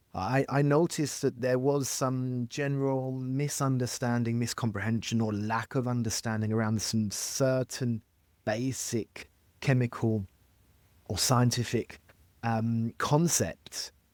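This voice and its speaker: A man at medium pitch with a slight French accent, fairly slow pace and fairly even intonation, in a very clean recording with a silent background and a dry, close sound with no echo. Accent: very slight French accent, mostly English. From France, with an English mother. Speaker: chemistry expert, industry scientist. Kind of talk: interview. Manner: halting, many fillers and repeats.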